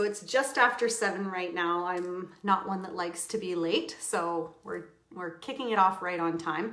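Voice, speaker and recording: In a space with audible room echo and noticeable background noise, a woman speaks at a fairly slow pace. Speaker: crafting instructor. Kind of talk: live tutorial stream. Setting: home livestream. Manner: loud; animated, giggly.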